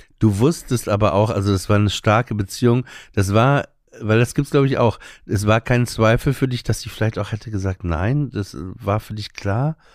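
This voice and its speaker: In a plain, everyday voice, a man talks at a moderate pace and a fairly low pitch with ordinary pitch variation, in a very clean, dry, close recording with a silent background and no echo. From northern Germany, Emsland. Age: 40s. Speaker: stand-up comedian. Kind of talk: casual interview.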